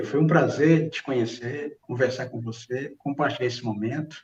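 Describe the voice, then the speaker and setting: A man's somewhat breathy, medium-pitched voice at a fairly slow pace, with ordinary pitch variation. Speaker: pastor. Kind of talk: religious reflection. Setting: online livestream.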